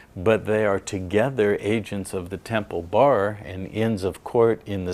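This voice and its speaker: The speaker has a normal speaking voice, using fairly even intonation at a moderate pace. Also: man, very clean recording, silent background. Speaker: seminar lecturer. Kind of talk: lecture.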